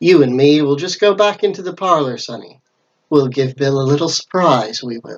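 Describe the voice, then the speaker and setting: A growling, put-on character voice from a man, fairly high in pitch, at a moderate pace. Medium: read story. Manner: snarling, falsely friendly.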